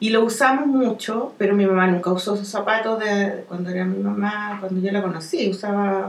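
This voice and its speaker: A woman in a Chilean accent at a moderate pace, with audible room echo and noticeable background noise. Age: 40s. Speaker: comic artist. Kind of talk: casual chat.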